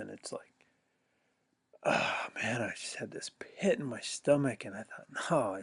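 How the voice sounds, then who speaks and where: A soft-spoken man. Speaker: addiction recovery coach. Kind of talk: casual vlog monologue. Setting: outdoors, early morning. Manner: soft-spoken, quiet; halting, many fillers.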